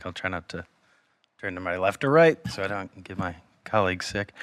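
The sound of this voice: Using a put-on character voice, a man speaks at a fairly quick pace with a very deep, low pitch and a raspy sound. The recording is very clean, with a silent background.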